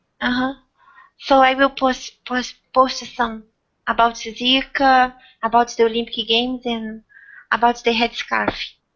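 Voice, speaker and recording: Speaking with a non-native accent, a woman uses a high pitch and monotone, flat intonation at a fairly slow pace, with long, frequent pauses. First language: not English. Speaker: hangout host. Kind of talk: casual group discussion. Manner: halting, repeats words.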